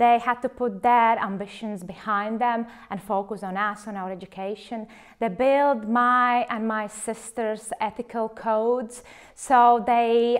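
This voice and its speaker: A woman speaks at a fairly high pitch and a fairly slow pace. Her intonation is fairly even on a very clean recording with a silent background. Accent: Latvian. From Latvia. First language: Latvian. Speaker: clinical research facilitator. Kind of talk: personal testimony interview. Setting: filmed interview.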